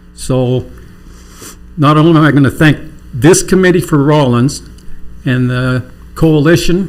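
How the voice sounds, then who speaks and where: Audible room echo fills the recording. A man talks at a fairly slow pace and a fairly high pitch, with ordinary pitch variation. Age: 60s. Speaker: city council member. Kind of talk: council meeting remarks.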